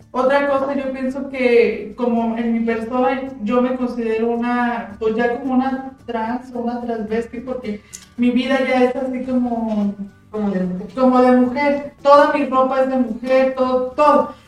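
Noticeable background noise sits behind a fairly slow voice with monotone, flat intonation. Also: woman, high pitch for a woman. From Jalpa, Zacatecas, Mexico. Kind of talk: casual chat.

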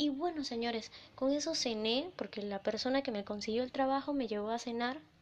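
Amid noticeable background noise, a woman with a high pitch sounds animated, her intonation lively. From Venezuela. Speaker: podcast host. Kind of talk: personal storytelling.

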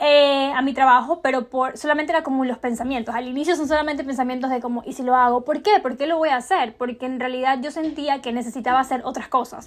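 A woman talks at a very fast pace with hardly any pauses, her pitch high and her intonation fairly even. Noticeable background noise sits behind her. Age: 20s. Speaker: podcast host. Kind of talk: casual personal vlog-style monologue.

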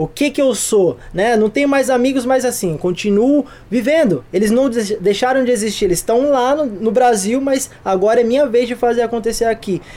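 A man's extremely high-pitched voice at a moderate pace, with hardly any pauses, ordinary pitch variation and very even loudness, against noticeable background noise. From São Paulo, Brazil. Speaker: photographer and director. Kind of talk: casual chat.

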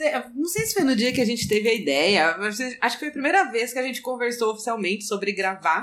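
A woman in a normal speaking voice talks at a fairly quick pace with hardly any pauses, her fairly high pitch carried by lively intonation. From Brazil, São Paulo city. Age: 30s. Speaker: podcast guest. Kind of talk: casual chat.

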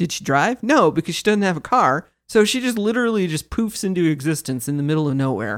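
A woman with an American accent talks at a fairly quick pace with hardly any pauses, her fairly low voice making very wide pitch swings. The recording is very clean with a silent background. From Kansas. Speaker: podcast co-host. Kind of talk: casual chat.

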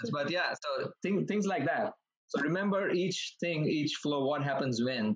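A man speaks in a normal speaking voice, fairly high in pitch, with lively intonation. His pace is fairly slow and his loudness stays very even. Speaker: exam candidate. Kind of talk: casual chat.

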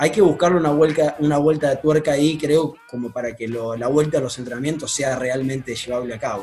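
A man with a fairly high voice talks at a fairly quick pace, with hardly any pauses and ordinary pitch variation. Noticeable background noise runs underneath. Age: 20s. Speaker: football club president. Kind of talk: radio interview. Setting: video call. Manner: hesitant, many fillers.

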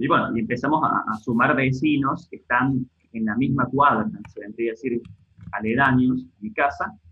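A man with an unremarkable speaking voice talks at a moderate pace and medium pitch, his pitch varying in an ordinary way while his loudness swings widely. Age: 30s. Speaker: online video parody creator. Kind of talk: casual chat.

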